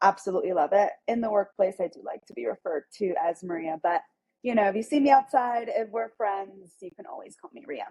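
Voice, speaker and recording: In an American accent, a woman has an unremarkable speaking voice at a medium pitch with ordinary pitch variation. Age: 30s. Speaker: accountant. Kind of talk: interview.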